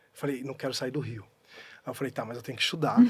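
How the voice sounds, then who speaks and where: This man's voice is somewhat breathy. The recording is very clean, with a silent background. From Pernambuco, Brazilian Northeast (interior town). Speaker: actor. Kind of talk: casual chat. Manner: animated.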